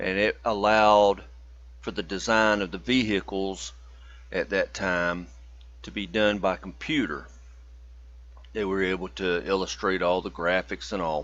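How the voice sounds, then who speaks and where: The speaker moves at a fairly slow pace with lively intonation. Long, frequent pauses break up the speech. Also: man, very deep, low pitch for a man. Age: 50s. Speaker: student. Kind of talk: class presentation. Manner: casual, folksy.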